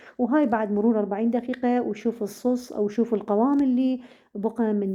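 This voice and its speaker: With an Iraqi accent, a woman speaks at a moderate pace and with fairly even intonation. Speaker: cooking channel host. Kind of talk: cooking tutorial. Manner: halting, many fillers.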